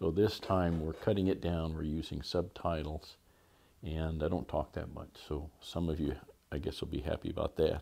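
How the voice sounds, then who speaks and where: The voice has a dark, mellow tone, fairly even intonation and a moderate pace. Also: man. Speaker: hobby channel host. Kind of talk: casual vlog chat. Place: workshop.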